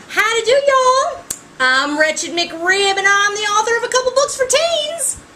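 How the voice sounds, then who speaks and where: A woman performs a put-on character voice with a Southern accent, her pitch extremely high and swinging very widely. She speaks at a moderate pace over clear background noise. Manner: hammy, comedic.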